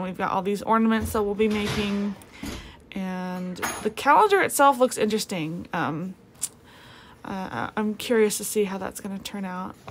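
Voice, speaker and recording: Moderate pace from a female speaker, light noise in the background. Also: big swings in loudness. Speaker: craft tutorial maker. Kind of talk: tutorial. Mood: cheerful, relaxed. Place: home room.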